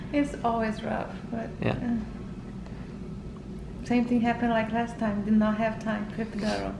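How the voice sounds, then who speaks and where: There is noticeable background noise as a woman speaks at a moderate pace. Her intonation is monotone and flat. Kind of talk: casual vlog chat. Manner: worn-out, soft post-labor voice. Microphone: phone near.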